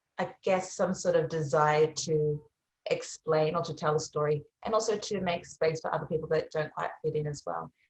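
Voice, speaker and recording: In an Australian accent, a woman with a very deep, low pitch and a somewhat breathy voice speaks with fairly even intonation. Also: moderate pace. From Australia, Melbourne area. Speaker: singer-songwriter. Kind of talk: interview.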